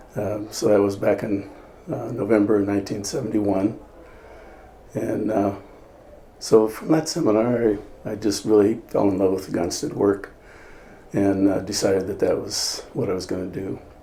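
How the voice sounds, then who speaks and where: Moderate pacing with long, frequent pauses and ordinary pitch variation, in a room with audible echo. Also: man, fairly low pitch for a man. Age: 70s. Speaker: chiropractor. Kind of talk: interview testimony. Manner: halting, many fillers.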